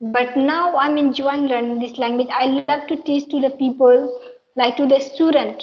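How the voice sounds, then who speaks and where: A woman with an Indian accent speaks at a moderate pace in a high voice, her intonation flat and monotone. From Bihar, India. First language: Maithili. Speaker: English teacher and channel host. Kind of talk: casual chat.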